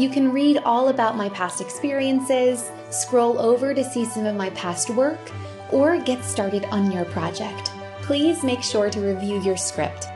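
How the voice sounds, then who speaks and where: A woman talks with an American accent. Clear music plays in the background. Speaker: voice actor; audiobook narrator. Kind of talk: sales pitch to camera. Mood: warm, friendly, upbeat. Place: home room.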